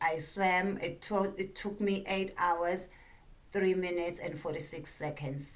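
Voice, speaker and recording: Speaking at a fairly slow pace, a woman with a South African accent keeps a fairly low pitch and fairly even intonation. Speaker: stand-up comedian. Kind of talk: comedic talk to camera.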